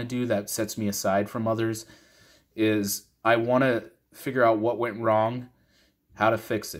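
With an American accent, a man speaks at a moderate pace in a monotone, flat intonation. The background is quiet. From Minnesota. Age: 30s. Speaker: gun parts reviewer; product reviewer vlogger. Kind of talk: casual talking-head video. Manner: casual, rambling with fillers. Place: home room. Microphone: phone near.

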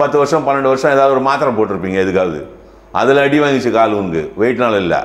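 A man with lively intonation, with audible room echo around him. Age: 60s. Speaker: doctor. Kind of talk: casual chat. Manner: animated. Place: home room. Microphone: lapel.

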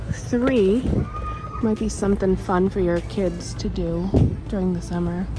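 A woman speaks at a fairly slow pace. The sound is dry with no echo, though background noise is noticeable. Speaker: shopping vlogger. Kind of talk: casual vlog chat. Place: shop. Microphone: phone near.

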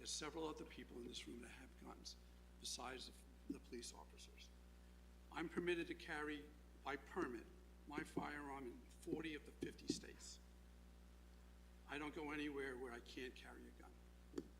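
A man speaks with long, frequent pauses. There is audible room echo. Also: moderate pace, big swings in loudness. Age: 70s. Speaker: public commenter at town meeting. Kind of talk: public comment speech. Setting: town council meeting room.

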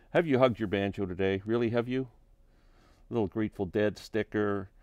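A fairly quick pace in a dry sound with no echo. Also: man, quiet background. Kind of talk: casual room tour narration. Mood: relaxed, proud. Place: home room. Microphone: phone near.

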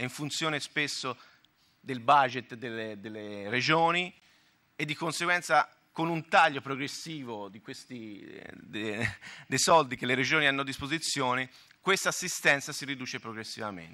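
With a Tuscan accent, a man talks at a moderate pace in a bright, sharp tone and medium pitch, his intonation lively and his loudness swinging widely against a quiet background. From Tuscany, Italy. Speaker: health fund manager / conference speaker; conference speaker. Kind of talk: conference talk. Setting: conference hall with audience. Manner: halting, with self-corrections. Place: hall. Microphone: podium.

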